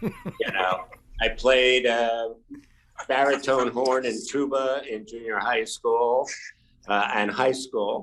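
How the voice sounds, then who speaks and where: A man talks at a very slow pace, keeping his intonation fairly even. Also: medium pitch for a man. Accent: American. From New York City. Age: 70s. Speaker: guitar maker. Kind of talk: interview. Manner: hesitant with fillers.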